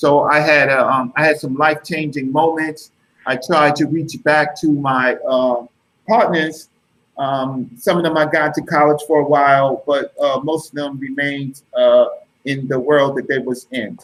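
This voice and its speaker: This man keeps a fairly slow pace. His intonation is fairly even throughout. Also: fairly high pitch for a man. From New York City (Brooklyn, Bronx). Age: 50s. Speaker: guest speaker. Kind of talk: interview. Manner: halting, many fillers.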